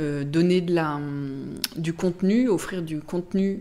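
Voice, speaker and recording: A woman's fairly low, dark, mellow voice moves with ordinary pitch variation. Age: 30s. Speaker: press relations agency director. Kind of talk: podcast interview. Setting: office.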